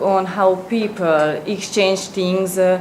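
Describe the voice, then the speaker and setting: A woman of medium pitch with a Hungarian accent at a fairly slow pace, amid noticeable background noise and audible room echo. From Hungary. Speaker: student presenter. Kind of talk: presentation. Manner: halting, many fillers.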